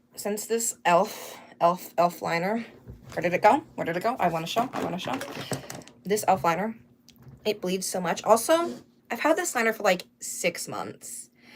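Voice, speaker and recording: Her pitch is medium and her intonation lively as this woman talks at a moderate pace. Long, frequent pauses break her speech over noticeable background noise. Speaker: drag performer streamer. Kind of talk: makeup tutorial livestream. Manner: casual, chatty.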